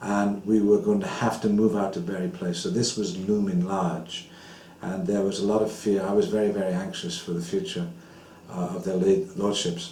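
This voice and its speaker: A man talks at a moderate pace in a fairly low voice with monotone, flat intonation. The room echo is audible. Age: 60s. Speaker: former temple president. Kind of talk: interview. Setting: at home.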